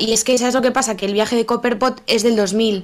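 A woman speaks at a fairly high pitch with monotone, flat intonation on a very clean recording with a silent background. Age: 30s. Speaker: podcast co-host. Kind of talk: casual chat.

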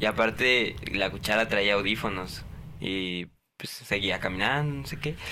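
Using an ordinary speaking voice, a man talks at a fairly slow pace with a fairly low pitch and lively intonation. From Guadalajara, Jalisco, Mexico. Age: 20s. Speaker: podcast co-host. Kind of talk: casual chat.

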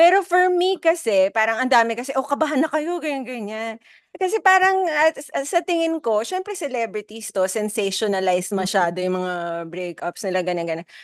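A woman talks at a fairly quick pace in a fairly high voice. Her pitch swings very widely. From Philippines, Filipino Chinese community. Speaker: podcast co-host. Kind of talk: casual chat.

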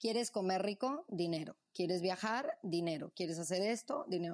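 The sound is close and dry, without any echo. A woman talks with lively intonation. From Mexico City, born in Morelia. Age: 30s. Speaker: entrepreneur and traveler. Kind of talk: interview conversation. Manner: animated.

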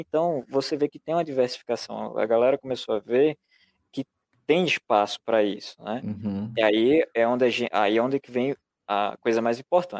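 In an ordinary speaking voice, a man talks at medium pitch and a moderate pace, with ordinary pitch variation and big swings in loudness, dry and close with no echo. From Brazil, rural interior of Pernambuco. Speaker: publisher and illustrator. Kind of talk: podcast interview. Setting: live stream.

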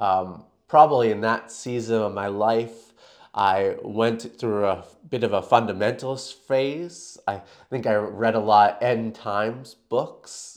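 In a plain, everyday voice with a Canadian accent, a man speaks at medium pitch with fairly even intonation over a quiet background. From Canada. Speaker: New Testament lecturer. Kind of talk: interview conversation.

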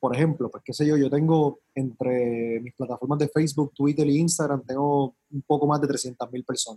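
Somewhat breathy and fairly high in pitch, a man speaks with fairly even intonation in a dry, close sound with no echo. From Puerto Rico, San Juan metro area. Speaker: politician, mayoral candidate. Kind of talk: casual interview.

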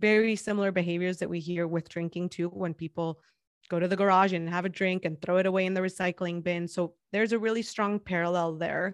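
A woman's medium-pitched, monotone, flat delivery, with a dry, close sound, no echo and a quiet background. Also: fairly quick pace. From Mexico, Guadalajara. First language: Spanish. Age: 30s. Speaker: podcast host. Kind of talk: interview. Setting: remote call.

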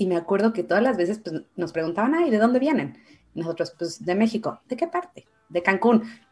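A woman talks with a normal speaking voice and lively intonation. Her pace is fairly quick. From Mexico, Guadalajara. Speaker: Mexican immigrant in Canada. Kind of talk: casual chat.

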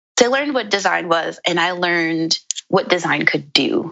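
A woman with an American accent has an unremarkable speaking voice, fairly low in pitch for a woman. She talks at a fairly slow pace with lively intonation. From New York, Brooklyn. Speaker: landscape architect and urban planner. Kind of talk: interview.

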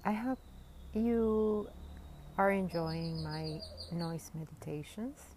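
The speaker's tone is soothing and calm. The pace is very slow, with long, frequent pauses. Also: woman. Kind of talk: guided meditation. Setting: outdoors in a garden. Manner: slow, soothing and calm; warm, gentle and sincere.

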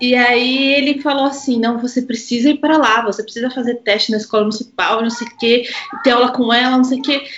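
Her pitch high and her intonation fairly even, a woman talks at a fairly quick pace. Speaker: violinist and mother. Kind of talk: casual chat.

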